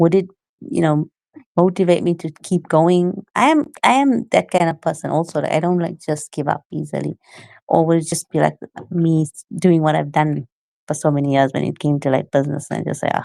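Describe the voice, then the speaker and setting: Speaking at a fairly quick pace, a woman has a very deep, low pitch, a dark, mellow tone and ordinary pitch variation, captured in a very clean recording with a silent background and a dry, close sound with no echo. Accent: South African. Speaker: aspiring entrepreneur. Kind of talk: casual chat.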